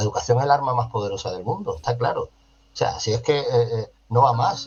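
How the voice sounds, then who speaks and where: A man with a southern Spanish accent speaks at a medium pitch in a somewhat breathy voice. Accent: Andalusian-type southern Spanish. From Ceuta, Spain. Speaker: social educator and foundation director. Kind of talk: interview. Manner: animated.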